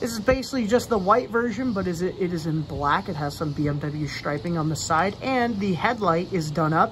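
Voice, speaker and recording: A woman speaks at a fairly quick pace with lively intonation and hardly any pauses. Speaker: toy car collector youtuber. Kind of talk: casual product review. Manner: loud.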